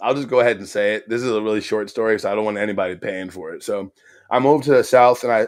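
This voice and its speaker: A man puts on a raspy character voice at medium pitch with fairly even intonation. He talks very fast. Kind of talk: proper, polished, refined.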